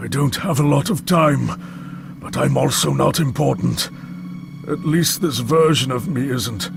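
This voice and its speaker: Over clear background noise, a man puts on a character voice, fairly high in pitch and fairly slow in pace. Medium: video game. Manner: impatient, brusque, condescending.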